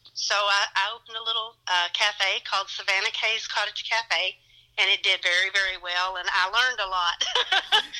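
In a Kentucky accent, a woman speaks at a moderate pace and a medium pitch. Her intonation is monotone and flat. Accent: Southern, Kentucky. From Elizabethtown area, Kentucky. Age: 30s. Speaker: antique shop owner, interview guest. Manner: chatty, friendly, uses lots of fillers.

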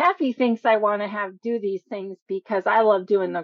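At a fairly slow pace, a woman talks in a plain, everyday voice pitched fairly high. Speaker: co-host of writing show. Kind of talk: radio show hosting.

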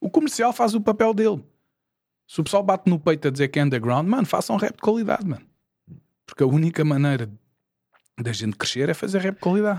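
High male voice with very wide pitch swings, a very fast pace and long, frequent pauses. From Portugal, Lisbon area (Porto Salvo, Oeiras). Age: 40s. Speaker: rapper. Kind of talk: casual chat.

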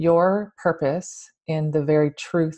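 A woman speaks in a Canadian accent, her tone dark and mellow and her pitch very deep and low. Her intonation is monotone and flat against a quiet background. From Ontario, Canada. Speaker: podcast host, Reiki master and spiritual guide. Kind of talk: casual interview chat.

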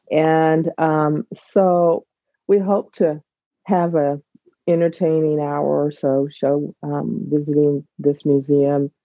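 A woman's very deep, low voice with fairly even intonation and music in the background. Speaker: co-host of online show. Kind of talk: casual presentation. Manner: halting, many ums.

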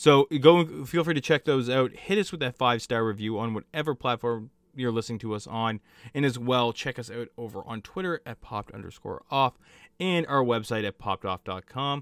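Speaking in an ordinary speaking voice at a medium pitch and moderate pace, a man uses lively intonation with big swings in loudness. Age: 20s. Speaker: podcast host. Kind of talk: casual chat.

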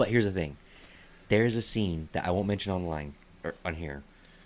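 A man talks in a plain, everyday voice. His pitch is fairly low, with ordinary variation. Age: 30s. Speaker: comedian and podcast host. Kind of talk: casual chat. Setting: studio.

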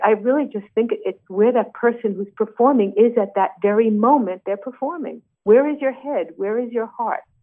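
A woman with a New York accent talks at a moderate pace, her fairly high pitch showing ordinary variation. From New York, Brooklyn. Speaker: singer and actress. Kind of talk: interview. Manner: halting, many fillers.

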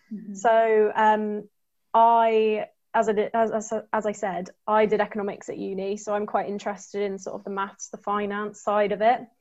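Against a quiet background, a woman speaks at a moderate pace in a fairly high pitch. Her intonation is monotone and flat, while her loudness swings widely. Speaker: tech graduate trainee. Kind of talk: webinar panel talk.

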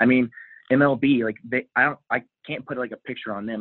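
Speaking at a moderate pace, a man with an unremarkable speaking voice and an American accent keeps a medium pitch and fairly even intonation. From Texas. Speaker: sales worker, fan guest. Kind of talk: casual chat.

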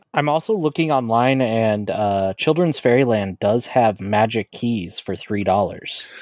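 A man's medium-pitched, normal speaking voice with an American accent, a fairly slow pace, hardly any pauses and ordinary pitch variation. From Colorado. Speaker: podcast co-host. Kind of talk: casual chat.

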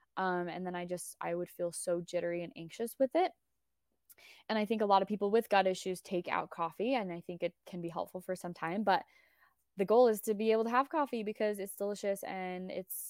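In a normal speaking voice, a woman with an American accent talks at a fairly quick pace and medium pitch with fairly even intonation, the sound dry and close with no echo on a very clean recording against a silent background. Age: 30s. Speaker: nutrition coach. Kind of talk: casual chat.

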